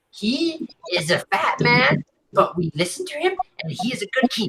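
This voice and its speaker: Putting on a character voice, a man talks at an extremely high pitch at a moderate pace. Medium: actual play. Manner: arrogant, defiant.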